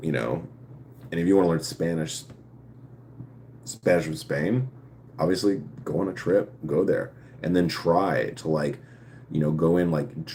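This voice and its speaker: With vocal fry and a very deep, low pitch, a man speaks at a moderate pace with lively intonation. He leaves long, frequent pauses, and room echo is audible. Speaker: live streamer answering viewer questions. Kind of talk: casual live stream chat. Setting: live stream. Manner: halting, with fillers and restarts; speech affected by past brain injury.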